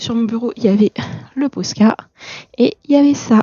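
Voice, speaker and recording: The voice is soft-spoken and somewhat breathy, moving at a fairly slow pace. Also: woman. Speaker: art vlogger. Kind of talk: casual vlog chat. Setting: at home desk at night. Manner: hesitant, many fillers.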